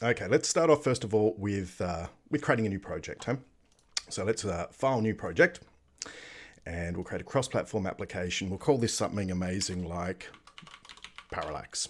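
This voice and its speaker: A man with an Australian accent speaks at a moderate pace with a fairly low pitch. His intonation is lively, and his pauses are long and frequent. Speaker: software developer live streamer. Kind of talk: live coding stream tutorial. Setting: live stream from home at night. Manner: casual, lots of fillers.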